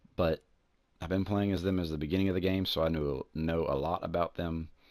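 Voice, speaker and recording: A man with a Southern US accent talks at a very fast pace. His very deep, low voice stays monotone and flat. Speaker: gaming YouTuber. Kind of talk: gameplay commentary. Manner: casual, rambling with hesitations.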